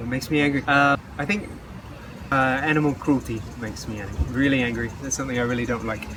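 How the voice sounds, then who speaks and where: Over noticeable background noise, a man at medium pitch talks at a very fast pace with ordinary pitch variation, broken by long, frequent pauses. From Western Australia. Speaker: English teacher and traveler. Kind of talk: interview. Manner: halting.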